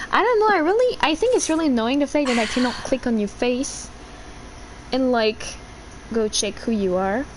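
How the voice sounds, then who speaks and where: A woman speaks in a Quebec accent at a high pitch, with very wide pitch swings. She goes at a moderate pace, with long, frequent pauses. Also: very even loudness. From Quebec, Canada. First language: French. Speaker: gaming livestreamer. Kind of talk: casual livestream chat. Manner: loud.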